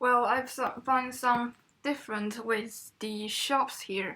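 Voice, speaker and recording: In a Chinese accent, the speaker talks fairly slowly with a bright, sharp tone and fairly even intonation, on a very clean recording with a silent background. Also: woman. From China. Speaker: international student. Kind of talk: student podcast conversation.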